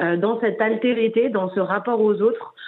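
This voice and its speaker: A fairly high-pitched woman at a moderate pace, with ordinary pitch variation. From Paris, France. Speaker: documentary filmmaker and peace activist. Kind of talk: interview. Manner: halting.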